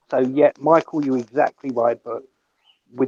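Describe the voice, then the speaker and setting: A man with a British accent speaks at a moderate pace and medium pitch. His intonation is fairly even, and the sound is dry and close with no echo. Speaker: off-grid survival speaker. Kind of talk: casual group discussion.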